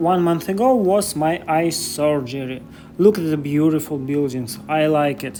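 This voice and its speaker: At a fairly slow pace, a man with a Russian accent speaks at a fairly high pitch with ordinary pitch variation. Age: 30s. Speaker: vlogger. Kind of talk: walking vlog. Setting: outdoors. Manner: halting non-native English.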